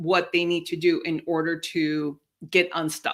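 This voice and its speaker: A woman with a Spanish accent speaks fairly slowly in a fairly low voice, on a very clean recording with a silent background. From Mexico. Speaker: career coach. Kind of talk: interview. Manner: succinct.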